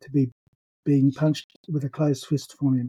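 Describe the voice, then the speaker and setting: A somewhat breathy, dark, mellow voice speaks in an Australian accent with a monotone, flat intonation. The pace is moderate, and the sound is dry and close with no echo. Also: man. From Brisbane, Australia. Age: 60s. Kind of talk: personal testimony.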